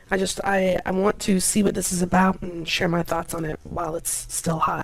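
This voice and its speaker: A woman's fairly low, monotone and flat voice over noticeable background noise. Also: moderate pace. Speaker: vtuber reacting to a video. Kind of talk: reaction commentary.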